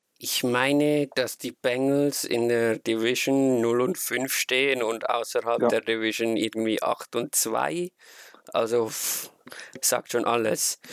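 Medium in pitch, a man with a Swiss accent talks at a very slow pace and fairly even intonation. The sound is dry and close, with no echo. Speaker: fan podcast host. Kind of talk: casual chat.

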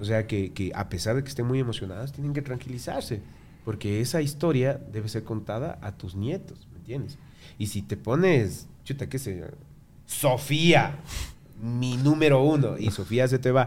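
A man talks in an animated, somewhat breathy tone with lively intonation. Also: medium pitch for a man, moderate pace. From Ecuador. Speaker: tattoo artist. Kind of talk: casual chat.

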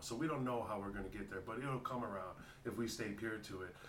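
Fairly quick and fairly even in intonation, a man talks at medium pitch amid noticeable background noise. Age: 40s. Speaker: hip hop artist. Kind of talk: casual interview. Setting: studio.

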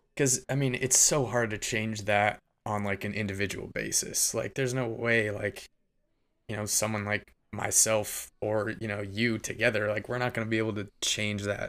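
A man with an American accent and a plain, everyday voice speaks at a moderate pace and fairly low pitch with fairly even intonation, in a very clean recording with a silent background. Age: 20s. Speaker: advertising worker and hobby music producer. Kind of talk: casual chat. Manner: casual, heavy use of filler words.

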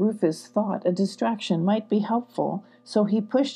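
Someone reads aloud. It is an unforced reading voice.

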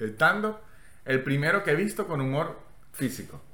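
There is noticeable background noise. Over it, a man speaks at a fairly high pitch. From Venezuela. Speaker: comedian. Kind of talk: casual chat. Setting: hotel room.

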